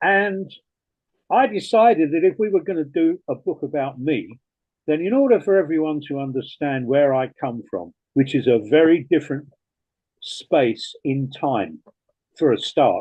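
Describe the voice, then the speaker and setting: A man talks with lively intonation at a fairly high pitch. His pace is fairly slow. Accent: English. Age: 70s. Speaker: retired rock DJ. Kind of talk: interview.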